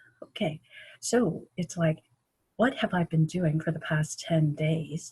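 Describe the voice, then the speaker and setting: A woman speaks at a very slow pace with a very deep, low pitch and fairly even intonation, somewhat breathy. The sound is dry and close, with no echo. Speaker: video blogger. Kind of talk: casual vlog monologue. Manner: slow, many fillers; halting.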